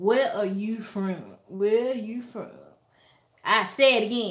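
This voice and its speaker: This woman has an American accent. Her tone is bright and sharp. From Alabama, US South. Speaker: YouTuber, lifestyle vlogger. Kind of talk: casual livestream chat. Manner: animated.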